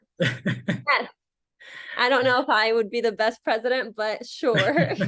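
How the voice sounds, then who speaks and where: A woman talks at a fairly slow pace in a fairly high voice with vocal fry and ordinary pitch variation. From Egypt (Alexandria) and California. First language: Arabic. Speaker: actress. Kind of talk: interview. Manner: casual, with many fillers.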